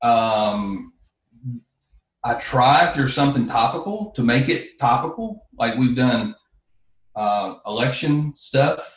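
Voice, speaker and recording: A man with a North Carolina accent talks at a very slow pace, leaving long, frequent pauses. His medium-pitched voice is somewhat breathy, with lively intonation. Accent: US Southern (North Carolina). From North Carolina, Yadkin County. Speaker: car dealership owner and promoter. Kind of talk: casual interview chat. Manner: soft-spoken, low-key.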